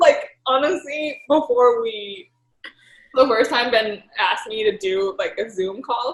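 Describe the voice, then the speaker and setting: This woman has a high pitch and lively intonation. She speaks at a very slow pace. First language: Thai. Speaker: professional golfer. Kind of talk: casual chat. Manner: halting, many fillers.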